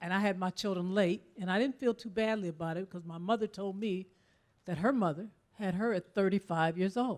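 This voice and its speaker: A woman's ordinary speaking voice at medium pitch, with ordinary pitch variation and a fairly quick pace. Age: 60s. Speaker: audience member, lawyer. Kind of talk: audience question.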